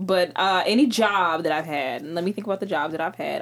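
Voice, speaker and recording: The voice is a plain, everyday voice. It moves at a moderate pace and shows ordinary pitch variation. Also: woman. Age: 20s. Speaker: podcast guest, podcast co-host. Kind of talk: casual chat.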